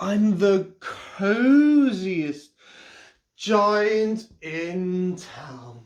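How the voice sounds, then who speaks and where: The speaker does a put-on character voice at a middle pitch. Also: female-sounding voice. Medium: read story. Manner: cheerful, warm.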